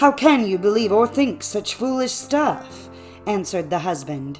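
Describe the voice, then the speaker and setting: Over music in the background, a woman speaks in a calm, soothing tone with very wide pitch swings. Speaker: narrator. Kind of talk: audiobook fairy tale reading.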